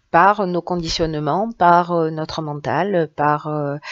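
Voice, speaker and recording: A woman speaks with a southern French accent. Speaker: tarot reader. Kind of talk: tarot reading. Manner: hesitant, many fillers.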